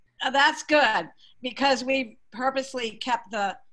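A woman with an American accent, high pitch and ordinary pitch variation, against a quiet background. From Massachusetts, Boston area. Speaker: community theater director; guest. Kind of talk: casual interview. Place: home room. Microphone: video call.

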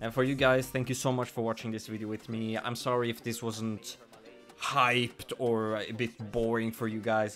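Over music in the background, a man talks at a moderate pace in a monotone with flat intonation. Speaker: reaction streamer. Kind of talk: casual reaction commentary. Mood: admiring, moved. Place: home room. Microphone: studio mic.

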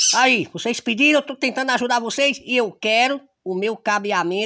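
A man's raised, projected voice at a moderate pace with ordinary pitch variation, against loud background noise. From Serrita, Pernambuco, Brazil; Pernambuco, Brazil. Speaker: local YouTube reporter. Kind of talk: casual vlog chat while eating. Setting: at home lunch with family. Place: open country. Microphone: phone near.

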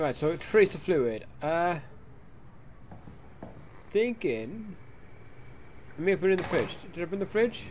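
With long, frequent pauses, a man speaks at a fairly slow pace and a high pitch, his voice moving in big pitch swings.

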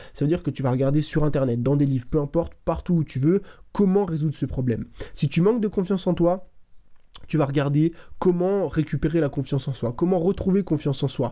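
Against a quiet background, a man speaks at a fairly quick pace. His fairly high voice has a dark, mellow tone and ordinary pitch variation. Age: 20s. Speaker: content creator, motivational youtuber. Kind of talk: motivational monologue to camera. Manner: casual, direct. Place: home room. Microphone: studio mic.

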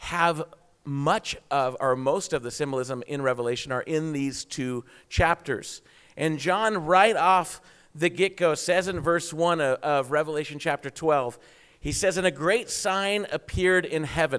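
A fairly slow pace and ordinary pitch variation against a quiet background. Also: man. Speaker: preacher. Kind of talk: sermon. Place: church. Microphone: handheld.

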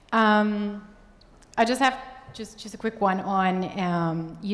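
A woman with fairly even intonation

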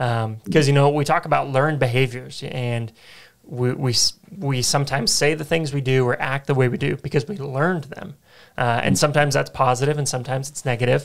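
Against a quiet background, a man with an American accent talks at a fairly quick pace in a normal speaking voice, pitched fairly high with ordinary pitch variation. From Phoenix, Arizona; Arizona. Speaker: church podcast host. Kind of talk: interview. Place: studio. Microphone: studio mic.

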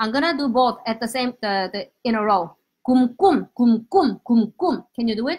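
A woman with a high-pitched voice talks at a moderate pace, her intonation lively. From South Korea. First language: Korean. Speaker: language teacher. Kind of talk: live-stream language lesson. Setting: live stream. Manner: animated. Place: home room. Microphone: webcam.

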